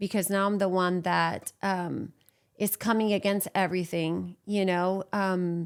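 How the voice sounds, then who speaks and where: In a Puerto Rican accent, a woman speaks fairly slowly at a medium pitch, her intonation monotone and flat. Her loudness stays very even, and the recording is very clean with a silent background. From Puerto Rico. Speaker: church abuse survivor. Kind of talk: testimony.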